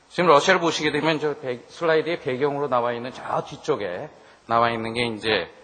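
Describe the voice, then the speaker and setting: A man talks fairly quickly with lively intonation while noticeable background noise carries on. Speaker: business consultant presenting at a seminar. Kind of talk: seminar presentation. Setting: seminar hall with audience. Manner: conversational, with fillers.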